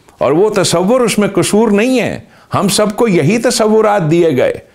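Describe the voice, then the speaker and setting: This man talks very slowly. His pitch is high. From Pakistan, Khyber Pakhtunkhwa. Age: 60s. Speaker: religious commentator. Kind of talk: lecture. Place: studio. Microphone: lapel.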